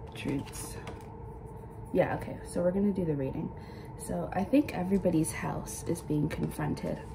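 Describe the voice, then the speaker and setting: A woman talks at a moderate pace. Noticeable background noise runs underneath. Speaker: tarot reader. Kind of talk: casual spiritual reading talk. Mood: calm, reflective. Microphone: phone near.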